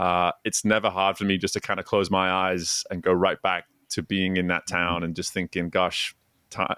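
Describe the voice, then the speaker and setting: A bright, sharp voice with monotone, flat intonation is heard in a dry, close recording with no echo, very clean against a silent background. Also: man. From northwest England, Chester. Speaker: former swim coach, executive coach. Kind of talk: podcast interview.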